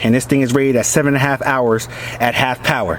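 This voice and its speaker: Through noticeable background noise, a man speaks at a fairly quick pace in a medium pitch with monotone, flat intonation. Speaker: product reviewer vlogger. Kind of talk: product review. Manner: hesitant, many fillers.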